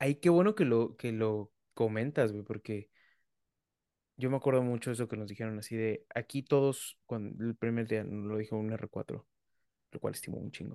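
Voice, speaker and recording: A man with a Mexican accent speaks at a medium pitch in a dark, mellow tone with fairly even intonation. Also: moderate pace. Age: 30s. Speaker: physician and podcast host. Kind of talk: casual chat.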